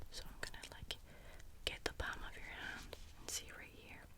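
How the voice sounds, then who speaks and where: Someone is whispering against noticeable background noise. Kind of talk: ASMR personal attention roleplay. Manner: whispered, soft-spoken.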